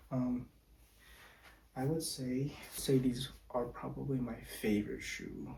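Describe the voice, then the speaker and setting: This man has a medium-pitched voice with a dark, mellow tone and a somewhat breathy quality. He talks quietly at a fairly slow pace with fairly even intonation. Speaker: volleyball player and shoe reviewer. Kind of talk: product review monologue. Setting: home at night, others asleep. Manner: speaking quietly; casual, with fillers.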